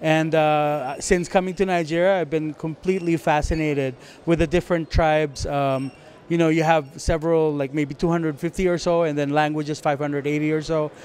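At a moderate pace, a man with a fairly high pitch speaks in a monotone, flat intonation. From Philippines. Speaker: diplomat; guest. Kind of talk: red carpet interview. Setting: movie premiere event. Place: hall. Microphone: handheld.

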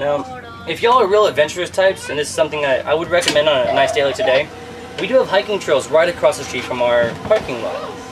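Talking very fast with very wide pitch swings, a man with a high pitch and an American accent is heard over noticeable background noise. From Houston, Texas. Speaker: tour guide. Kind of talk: guided tour narration. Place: boat.

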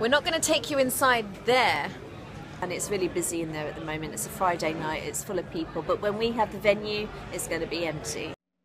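A woman with lively intonation speaks rather quickly, and noticeable noise runs in the background. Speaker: vlogger. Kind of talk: casual vlog chat. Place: street. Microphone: phone near.

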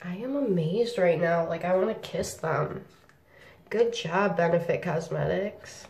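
A woman speaks in an animated tone at a fairly slow pace. Her pitch variation is ordinary, and audible room echo surrounds her voice. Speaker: beauty vlogger. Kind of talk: casual video review. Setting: home video. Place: bathroom. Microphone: phone near.

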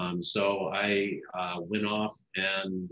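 Over a quiet background, a man speaks in a monotone with flat intonation. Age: 60s. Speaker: health minister. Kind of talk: interview. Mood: warm, reflective. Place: office. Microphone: video call.

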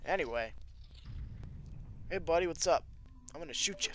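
A man speaks over music in the background. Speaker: video game let's player. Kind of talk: casual talk to camera, commentary.

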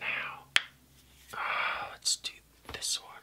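A man whispering in a relaxed tone. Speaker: ASMR creator. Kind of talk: ASMR casual talk to camera. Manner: soft-spoken, relaxed. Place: home room.

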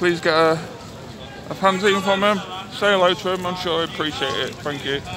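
Noticeable background noise sits under a man's high-pitched voice. The sound is dry with no echo, and his intonation stays fairly even. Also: fairly quick pace. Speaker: football fan vlogger. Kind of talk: casual vlog chat. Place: street. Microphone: phone near.

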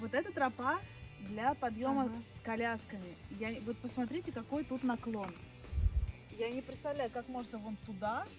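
A woman with ordinary pitch variation and long, frequent pauses, in a dry sound with no echo, with clear music in the background. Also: moderate pace. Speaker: vlogger. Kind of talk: casual vlog chat. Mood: playful, laughing.

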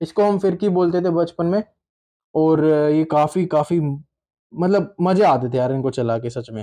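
Fairly slow and high-pitched, this man has a dark, mellow tone with ordinary pitch variation. Behind him the background is quiet. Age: 20s. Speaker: toy unboxing YouTuber. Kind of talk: casual unboxing video. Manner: animated. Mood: nostalgic, cheerful. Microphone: phone near.

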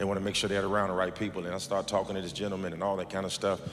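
A man with a very deep, low pitch talks at a very fast pace in a monotone, flat intonation. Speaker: pastor. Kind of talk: sermon. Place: church. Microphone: handheld.

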